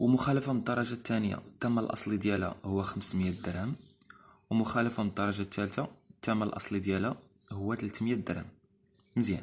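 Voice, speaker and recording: With a Moroccan accent, a man talks at a fairly quick pace in a fairly low voice with fairly even intonation. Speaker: driving instructor. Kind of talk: educational explainer. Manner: casual, hesitant.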